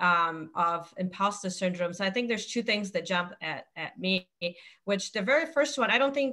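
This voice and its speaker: Speech in a non-native accent comes at a moderate pace. The intonation is lively. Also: woman. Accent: foreign. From outside the US. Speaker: insurance executive and panelist. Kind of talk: webinar panel discussion.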